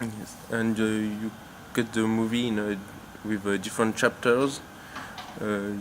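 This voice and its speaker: Someone speaks with a French accent. The pace is fairly slow. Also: man. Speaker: interviewer. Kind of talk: interview. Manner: halting.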